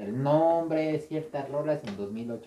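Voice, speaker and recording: A man with a Mexican accent speaks in a fairly high pitch, his dark, mellow tone carried by lively intonation. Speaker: podcast co-host and gaming youtuber. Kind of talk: casual chat.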